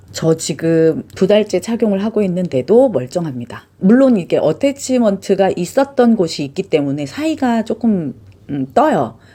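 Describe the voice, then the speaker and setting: A woman speaks at a fairly slow pace with a dark, mellow tone. Her medium pitch swings very widely. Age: middle-aged. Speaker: vlogger. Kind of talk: review vlog. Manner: casual, chatty.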